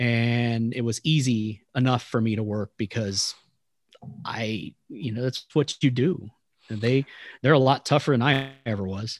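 A man with an American accent and a plain, everyday voice, at a medium pitch and a fairly slow pace, with fairly even intonation and a dry, close sound with no echo. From Texas. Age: 30s. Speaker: sports announcer. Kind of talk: interview podcast.

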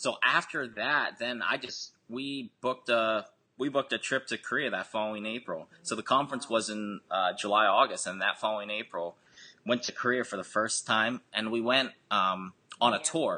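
Over a quiet background, a man with an American accent talks at a moderate pace and medium pitch, with a bright, sharp tone and ordinary pitch variation. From Harrisburg, Pennsylvania, US. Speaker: government retirement specialist, Korean adoptee. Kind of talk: interview conversation.

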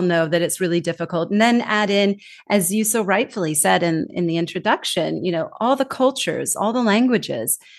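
A woman's medium-pitched voice with a Californian accent, lively intonation and a moderate pace over a quiet background. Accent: Californian American English. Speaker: global communication trainer. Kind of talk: casual chat. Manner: animated.

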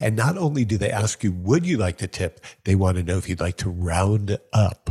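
A somewhat breathy, dark, mellow voice with an American accent at a moderate pace, dry and close with no echo. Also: man, fairly low pitch for a man, ordinary pitch variation. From New York. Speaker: podcast host. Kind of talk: casual interview chat. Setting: video call.

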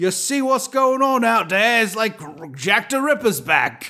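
A man puts on a gruff character voice in an English accent, pitched extremely high. He speaks at a fairly slow pace.

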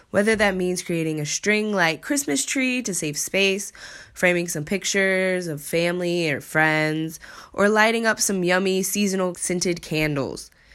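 On a very clean recording with a silent background, a woman with an unremarkable speaking voice talks at a medium pitch and moderate pace with ordinary pitch variation. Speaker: podcast host. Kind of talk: casual podcast chat. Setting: living abroad in Korea.

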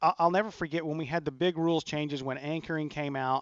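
In an ordinary speaking voice, the speaker uses fairly even intonation. The background is quiet, and the sound is dry and close with no echo. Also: man. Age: 30s. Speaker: pro golfer. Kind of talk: radio golf talk show. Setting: remote broadcast at a golf studio.

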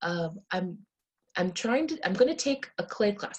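Somewhat breathy and lively in intonation, a woman with an American accent speaks at a fairly quick pace. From United States, Indian American family. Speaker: sex therapist and clinical social worker. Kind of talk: podcast interview.

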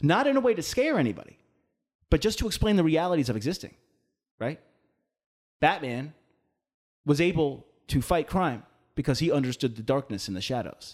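Long, frequent pauses break up a man's fairly quick speech. His pitch is fairly high and swings very widely. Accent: American. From Long Island, New York. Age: 40s. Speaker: podcast host. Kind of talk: casual chat.

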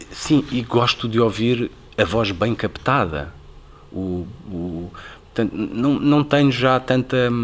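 Speaking very slowly with long, frequent pauses, a man uses lively intonation at a medium pitch. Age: 50s. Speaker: radio presenter. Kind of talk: interview conversation.

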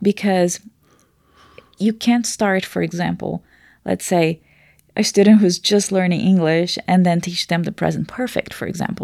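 Speaking at a moderate pace with long, frequent pauses, a woman with a Portuguese accent keeps a medium pitch and fairly even intonation, the sound dry and close with no echo. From Brazil. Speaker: language teacher and researcher. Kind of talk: casual explanatory conversation.

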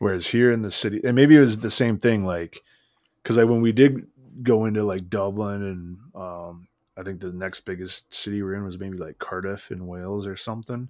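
An unremarkable speaking voice: a man with an American accent, fairly low-pitched, at a moderate pace with ordinary pitch variation. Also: very clean recording, silent background. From US. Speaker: podcast co-host. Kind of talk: casual chat.

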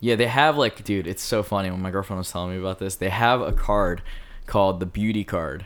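Talking at a fairly quick pace with an American accent, a man has an ordinary speaking voice, fairly low in pitch, with ordinary pitch variation. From Philadelphia. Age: 20s. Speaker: event planner and music producer. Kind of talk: casual chat.

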